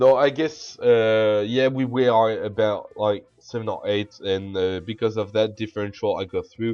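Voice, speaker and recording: A man in a French accent, at a medium pitch and a fairly slow pace, with fairly even intonation and hardly any pauses. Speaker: video game commentator. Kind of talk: gameplay commentary. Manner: halting.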